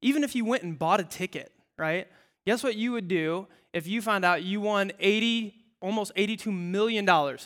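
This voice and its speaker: In a very clean recording with a silent background, a man uses a raised, projected voice that is high-pitched, bright and sharp, with lively intonation. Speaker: pastor. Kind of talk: casual, joke-filled sermon to a live congregation, full of audience call-and-response. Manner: animated, quick conversational delivery with playful asides and laughs; punchy, emphatic repetition of short phrases for comic effect.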